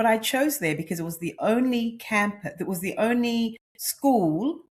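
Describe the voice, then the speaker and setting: Somewhat breathy, a woman speaks at a fairly slow pace in a fairly high pitch with very wide pitch swings. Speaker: nutritionist and menopause coach. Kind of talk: podcast interview. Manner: animated.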